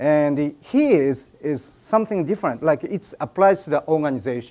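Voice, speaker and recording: Lively in intonation, a man with a Japanese accent and a dark, mellow tone speaks at a moderate pace. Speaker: speaker at an event. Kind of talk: speech to an audience. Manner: halting.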